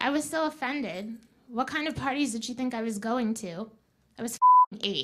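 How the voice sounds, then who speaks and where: Over noticeable background noise, a woman in a raised, projected voice speaks high-pitched and fairly slowly with ordinary pitch variation. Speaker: student comedian. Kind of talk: stand-up. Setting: stage with audience.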